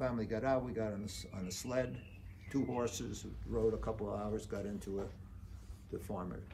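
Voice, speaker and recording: With vocal fry and ordinary pitch variation, a man talks at a moderate pace amid audible room echo. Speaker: Holocaust survivor. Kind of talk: testimony. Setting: memorial site talk. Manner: halting.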